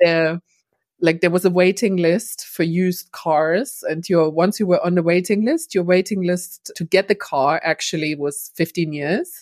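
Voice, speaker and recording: A woman with a German accent speaks fairly slowly at a fairly low pitch with fairly even intonation. The sound is dry and close, with no echo. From East Germany. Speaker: cross-cultural business trainer. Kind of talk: interview.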